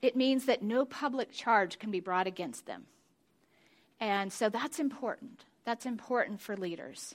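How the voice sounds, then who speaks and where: In a very clean recording with a silent background, a woman with a fairly high pitch and ordinary pitch variation talks at a moderate pace in an unremarkable speaking voice. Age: 50s. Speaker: pastor's wife, women's ministry speaker. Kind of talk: sermon.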